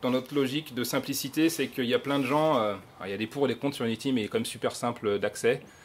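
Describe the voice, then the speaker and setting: This is a man's voice with a fairly high pitch. The pitch varies in an ordinary way. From France. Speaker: software developer speaker. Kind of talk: conference talk. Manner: animated, casual.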